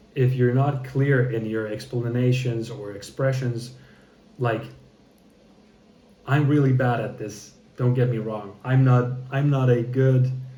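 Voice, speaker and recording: A man with a medium pitch and a dark, mellow tone talks at a fairly slow pace in a monotone, somewhat breathy delivery. Long, frequent pauses break up his speech, and the room echo is audible. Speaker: content creator practicing public speaking. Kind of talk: casual vlog monologue. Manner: halting, choppy with many repetitions; hesitant, thinking before speaking.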